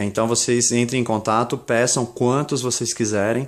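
With fairly even intonation, a man speaks at a moderate pace over a quiet background. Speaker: used-wood crate seller. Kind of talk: street-market style sales pitch, pitching a bargain lot of crates straight to camera. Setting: workshop/warehouse, video recording. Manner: rambling and improvised, with filler words and self-corrections. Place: home room. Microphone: phone near.

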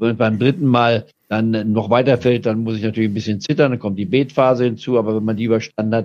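The talking is very fast, with fairly even intonation. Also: man, medium pitch for a man. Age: 80s+. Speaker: stock market analyst. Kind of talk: interview answer.

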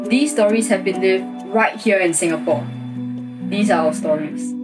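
The speech goes along at a moderate pace while clear music sounds behind it. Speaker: founder of a story-sharing project. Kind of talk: introduction to camera. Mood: earnest, serious. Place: home room. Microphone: phone near.

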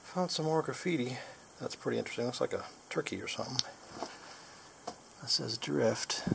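Loud background noise accompanies a man whose speech moves fairly quickly. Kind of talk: casual vlog chat. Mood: excited, mildly disappointed. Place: tunnel cave. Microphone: phone near.

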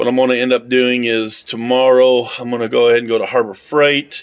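A man is speaking. He talks at a fairly quick pace. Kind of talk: casual vlog chat. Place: garage. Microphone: phone near.

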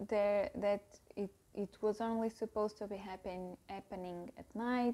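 At a very slow pace, a woman talks with a non-native accent and a dark, mellow tone. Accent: non-native English speaker. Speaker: book youtuber. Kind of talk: casual book review to camera. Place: home room. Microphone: lapel.

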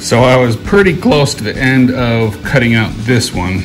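Clear music plays in the background as a man speaks. He goes at a fairly slow pace with ordinary pitch variation. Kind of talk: casual DIY tutorial narration. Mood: mildly disappointed, then upbeat. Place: workshop. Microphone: phone near.

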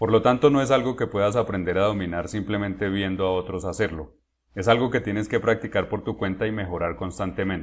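A normal speaking voice from a man, fairly low in pitch with ordinary pitch variation, at a fairly quick pace in a very clean recording with a silent background. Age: 30s. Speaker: chess grandmaster and coach. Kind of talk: tutorial. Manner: direct address to viewer.

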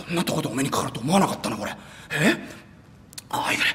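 A put-on, raspy character voice at a middle pitch and very fast pace, with light background noise. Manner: awed, moved.

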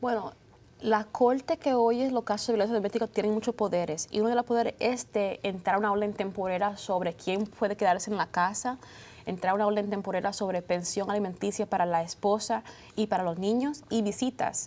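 At a fairly quick pace, a woman speaks at a medium pitch with ordinary pitch variation. Her loudness stays very even. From United States, Dominican parents. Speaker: lawyer. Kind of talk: TV panel discussion. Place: studio. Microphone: lapel.

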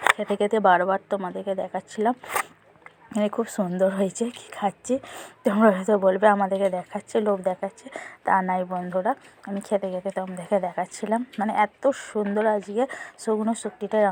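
A woman's medium-pitched, monotone voice with flat intonation, dry and close with no echo, amid noticeable background noise. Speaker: lifestyle vlogger, homemaker. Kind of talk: casual vlog voiceover. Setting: outdoors in the sun.

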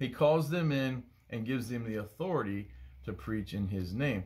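A man speaks at a moderate pace in a somewhat breathy voice, his pitch swinging very widely. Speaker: bible study teacher. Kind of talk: bible study teaching. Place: home room. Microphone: phone near.

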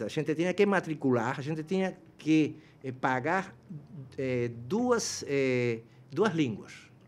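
The delivery is very slow, with lively intonation. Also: man. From Cuba. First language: Spanish (speaking Portuguese). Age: 60s. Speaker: professor. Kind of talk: interview. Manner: halting, many fillers. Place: studio. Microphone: studio mic.

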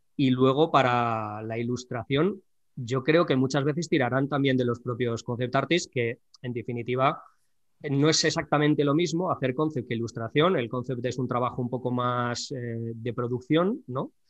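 A plain, everyday voice from a man, medium in pitch, with a moderate pace and ordinary pitch variation. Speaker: YouTube drawing channel host. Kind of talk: casual interview chat.

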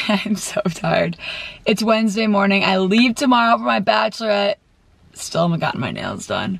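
A woman at a moderate pace with ordinary pitch variation, in a dry sound with no echo. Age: 20s. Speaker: lifestyle vlogger. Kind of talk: casual vlog. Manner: animated. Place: car. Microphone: camera far.

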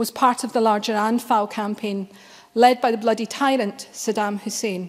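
A woman speaks with a Glaswegian accent at a fairly high pitch. Her pace is fairly quick, her intonation fairly even, against a quiet background. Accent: Glaswegian Scottish. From Scotland, Glasgow. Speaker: member of parliament. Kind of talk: parliamentary speech. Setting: parliament chamber. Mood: solemn, grave. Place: hall. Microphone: podium.

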